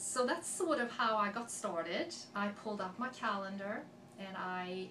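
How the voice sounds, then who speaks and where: With a Swedish accent, a woman speaks amid noticeable background noise and audible room echo. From Sweden, Gothenburg area (west coast). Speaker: accent sample speaker. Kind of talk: personal story monologue.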